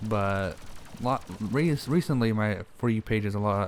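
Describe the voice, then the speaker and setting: This man speaks with a fairly low pitch. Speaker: gaming YouTuber. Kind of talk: casual Q&A monologue. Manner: monotone; halting, many fillers.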